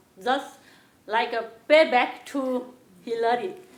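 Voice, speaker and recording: Audible room echo surrounds a woman speaking at a high pitch. Her pace is very slow and her pitch variation is ordinary. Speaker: former schoolteacher. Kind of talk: personal testimony. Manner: halting, many hesitations.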